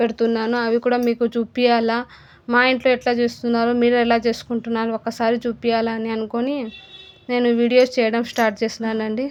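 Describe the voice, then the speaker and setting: A woman speaks with a non-native accent at a fairly high pitch, her intonation monotone and flat. Music plays in the background. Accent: non-fluent Telugu. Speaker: cooking YouTuber. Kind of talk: casual vlog talk. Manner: halting, stumbling.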